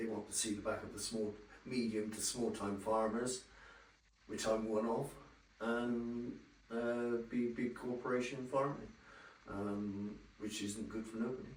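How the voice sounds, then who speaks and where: A man with a West Country accent, monotone and flat, at a fairly slow pace with long, frequent pauses, amid noticeable background noise and audible room echo. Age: 60s. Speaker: dairy farmer. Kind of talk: on-location interview. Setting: on a farm. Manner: hesitant, plain-spoken.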